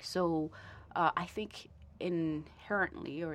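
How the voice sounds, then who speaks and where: A woman with a Vietnamese accent speaks at a very slow pace. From Vietnam, Ho Chi Minh City, then Toronto from age ten. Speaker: lawyer. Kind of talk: interview conversation. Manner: halting, many fillers and repetitions.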